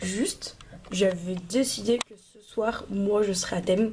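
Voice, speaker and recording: This woman has an unremarkable speaking voice. Her intonation is fairly even. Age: 20s. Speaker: vlogger. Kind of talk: casual vlog chat. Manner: casual, filler-heavy.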